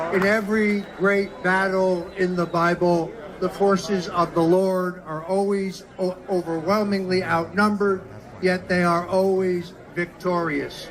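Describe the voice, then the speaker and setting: Over noticeable background noise, a man with a high voice speaks fairly slowly in a monotone, flat delivery. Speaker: political operative. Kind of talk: political speech at a podium. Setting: live event with audience.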